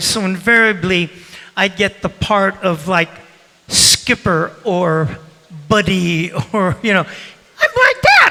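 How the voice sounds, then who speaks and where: Very slow speech over noticeable background noise. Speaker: actor, voice actor.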